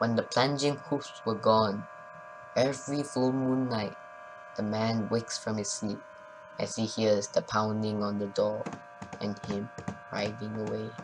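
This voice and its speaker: Amid noticeable background noise, a man speaks fairly slowly with long, frequent pauses. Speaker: storyteller. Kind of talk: gothic poem reading.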